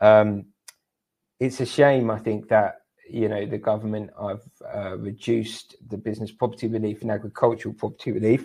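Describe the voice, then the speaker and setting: With a British accent, this voice has a dark, mellow tone, fairly even intonation and a fairly quick pace. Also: man. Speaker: tax specialist. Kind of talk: webinar presentation. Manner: fast.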